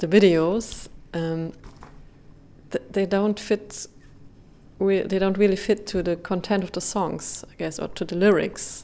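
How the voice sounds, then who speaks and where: A woman with a German accent speaks at a medium pitch in a monotone, flat delivery. Her pace is fairly slow, with long, frequent pauses. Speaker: radio interviewer. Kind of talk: interview. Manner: halting.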